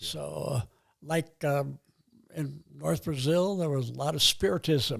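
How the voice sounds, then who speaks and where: A man's somewhat breathy voice, fairly high in pitch with ordinary pitch variation and a fairly slow pace, on a very clean recording with a silent background. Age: 80s+. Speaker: retired missionary. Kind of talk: interview answer.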